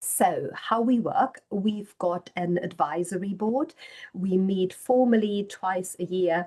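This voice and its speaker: A very slow woman's voice of medium pitch, dark and mellow in tone, with ordinary pitch variation. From Germany. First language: German. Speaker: professor. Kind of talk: lecture.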